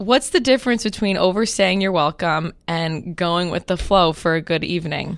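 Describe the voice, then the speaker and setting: A woman with a plain, everyday voice speaks at a fairly low pitch with ordinary pitch variation. Her pace is moderate, with hardly any pauses. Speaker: podcast co-host. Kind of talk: casual chat.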